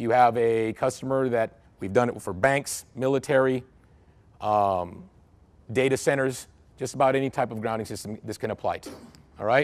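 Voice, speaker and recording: A man's medium-pitched voice with fairly even intonation and big swings in loudness, on a very clean recording with a silent background. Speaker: engineer presenting on grounding. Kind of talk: technical presentation. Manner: fast.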